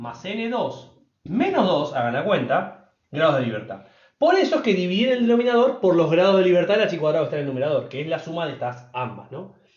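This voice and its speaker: Amid audible room echo, a man's high pitch takes very wide swings. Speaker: statistics teacher. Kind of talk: lecture. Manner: fast.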